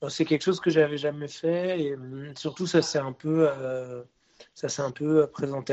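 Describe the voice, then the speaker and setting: This voice belongs to a man. He keeps a fairly even intonation. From Brittany, France (Rennes). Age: 20s. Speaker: singer and musician. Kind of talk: interview. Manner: hesitant, many repeated words.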